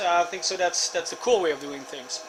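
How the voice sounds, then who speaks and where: Over noticeable background noise, a man with a French Canadian accent speaks at a high pitch. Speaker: deer hunter. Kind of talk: casual talk to camera.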